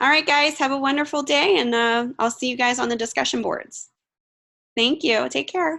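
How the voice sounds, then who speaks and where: Over a quiet background, a woman raises and projects her high, bright, sharp-toned voice at a moderate pace with ordinary pitch variation. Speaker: online course instructor. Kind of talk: online class session.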